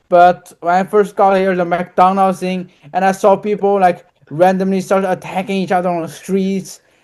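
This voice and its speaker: In a Chinese accent, a man talks at a moderate pace with a high pitch and monotone, flat intonation. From China. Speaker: university student. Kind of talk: casual chat.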